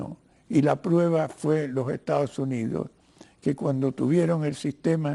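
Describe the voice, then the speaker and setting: This man has a dark, mellow tone and talks at a fairly slow pace with ordinary pitch variation. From Cuba. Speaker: writer and lawyer, interview guest. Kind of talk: TV interview. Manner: halting, with filler sounds.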